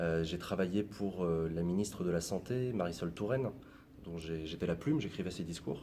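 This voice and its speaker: Room echo is audible around a man with a very deep, low pitch and a dark, mellow tone. He talks at a moderate pace with ordinary pitch variation. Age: 20s. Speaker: YouTuber, former political adviser. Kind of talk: interview. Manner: casual, many hesitations.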